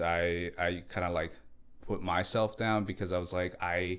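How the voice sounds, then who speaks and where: A man with a very deep, low pitch speaks at a fairly slow pace. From Latin America, moved to US in second grade. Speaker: entrepreneur. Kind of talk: interview. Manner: halting, many fillers and restarts.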